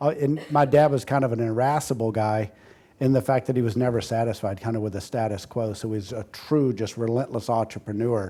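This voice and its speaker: In an American accent, a man with a medium-pitched, dark, mellow voice keeps his intonation fairly even. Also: fairly quick pace. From US South, rural southern Georgia (Moultrie). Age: 50s. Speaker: healthcare innovation executive. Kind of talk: interview.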